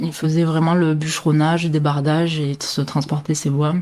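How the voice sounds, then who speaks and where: Very deep and low in pitch, a woman speaks at a fairly slow pace in a monotone, flat intonation, captured in a very clean recording with a silent background. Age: 30s. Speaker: sawmill owner. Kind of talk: interview. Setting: at home next to the sawmill. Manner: hesitant, many fillers.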